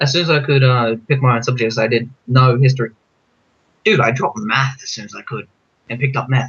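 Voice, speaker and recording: A man's mumbling at medium pitch and a fairly quick pace, with fairly even intonation but big swings in loudness. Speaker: youtuber. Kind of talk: casual chat. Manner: fast, mumbling.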